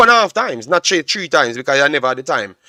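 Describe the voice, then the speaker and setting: Loud and animated, a man's voice sweeps through very wide pitch swings in a dry, close sound with no echo. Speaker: football analyst streamer. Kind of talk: live stream match analysis. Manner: loud, animated.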